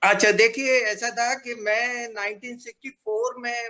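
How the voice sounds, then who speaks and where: A man uses a raised, projected voice with a bright, sharp tone. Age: 70s. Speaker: retired printing professional, alumnus. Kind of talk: casual reminiscence on video call. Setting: video call. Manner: hesitant, many fillers.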